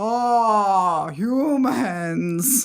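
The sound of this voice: Fairly high pitch in a put-on character voice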